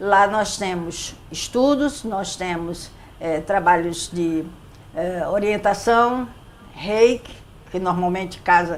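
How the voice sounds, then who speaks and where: A woman speaks at a very slow pace, her medium-pitched voice showing ordinary pitch variation. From Brazil, Recife (Pernambuco). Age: 70s. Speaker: psychologist and spiritist center leader. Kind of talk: interview.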